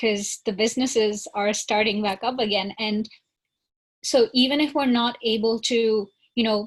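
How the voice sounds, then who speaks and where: Her voice somewhat breathy and fairly high, a woman talks in a monotone, flat intonation over a quiet background. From northern India (Shimla). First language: not English (English is her third). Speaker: college student. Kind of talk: panel discussion.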